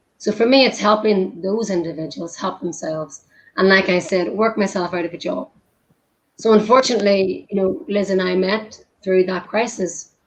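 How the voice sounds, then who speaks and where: A woman speaks with an Irish accent and ordinary pitch variation. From Ireland. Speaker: humanitarian worker, former nutritionist. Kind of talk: casual chat.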